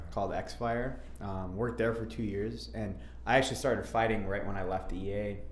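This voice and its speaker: Fairly low male voice with vocal fry, very wide pitch swings and audible room echo. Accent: Upper Midwest. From Minnesota, suburbs of Minneapolis. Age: 30s. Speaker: MMA fighter. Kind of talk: interview. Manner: casual, hesitant with fillers.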